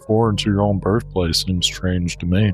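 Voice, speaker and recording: Speaking with a Southern US accent, a man talks at a fairly quick pace with a fairly low pitch while music plays in the background. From Middle Georgia, Southern US. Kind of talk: comedic personal essay narration.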